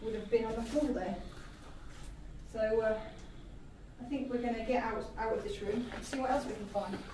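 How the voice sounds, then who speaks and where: Noticeable background noise and audible room echo are present. Over them, a woman talks at a moderate pace. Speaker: presenter. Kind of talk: casual vlog chat. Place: hall.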